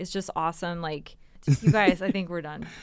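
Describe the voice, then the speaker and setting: A woman with an unremarkable speaking voice, a fairly low pitch, and fairly even intonation. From Canada, Toronto area. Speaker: real estate broker. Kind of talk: casual chat.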